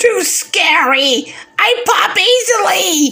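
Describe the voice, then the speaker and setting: A man's cartoonish character voice, extremely high in pitch, at a very slow pace. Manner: panicked, excitable.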